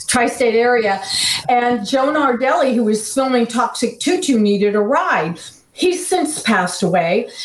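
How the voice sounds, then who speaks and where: A woman with an American accent speaks at a high pitch and a fairly slow pace, her intonation lively and her loudness very even. Noticeable background noise runs underneath. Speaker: actress and paranormal personality. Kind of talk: casual chat.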